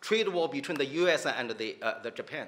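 A man speaks with a Chinese accent at a moderate pace. His pitch is high and his intonation lively. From China. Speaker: professor. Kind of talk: panel discussion. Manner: halting. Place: hall. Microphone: podium.

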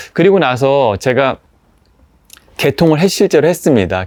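Against a quiet background, a man with a fairly high pitch talks at a fairly slow pace, his pitch swinging very widely. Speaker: vintage product channel host. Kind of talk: product review monologue. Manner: hesitant with filler sounds.

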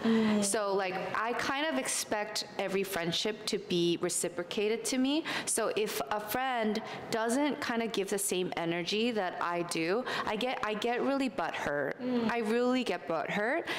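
A woman talks at a fairly slow pace with lively intonation and fairly high pitch. Audible room echo and light background noise sit behind her. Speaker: social media influencer. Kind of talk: casual chat. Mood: relaxed, candid girl talk. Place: home room. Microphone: handheld.

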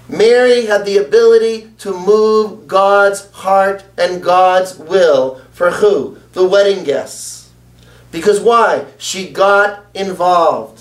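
Audible room echo around a high-pitched man's voice with ordinary pitch variation. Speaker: preacher. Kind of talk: sermon.

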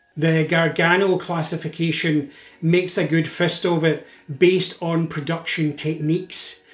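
In a room with audible echo, a man talks at a fairly slow pace with a Scottish accent. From Scotland. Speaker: drinks industry educator and video host. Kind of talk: scripted educational narration. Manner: measured with frequent filler uhs. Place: home room.

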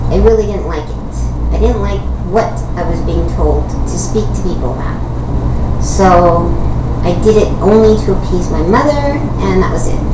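Amid loud background noise, a woman talks at a moderate pace with long, frequent pauses. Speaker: YouTube vlogger. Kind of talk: casual vlog storytelling. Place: home room. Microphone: webcam.

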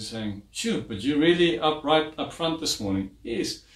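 A man's somewhat breathy voice carries audible room echo. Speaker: preacher. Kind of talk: sermon. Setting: church garage livestream. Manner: animated, call-and-response, urging the congregation to say amen; warm, chatty, fluent. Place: home room.

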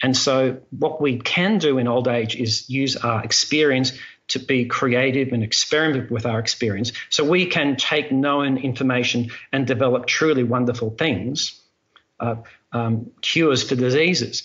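At a moderate pace, a man with an Australian accent speaks at a medium pitch with ordinary pitch variation and very even loudness. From Australia, Melbourne. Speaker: airline pilot. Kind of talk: interview. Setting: video call.

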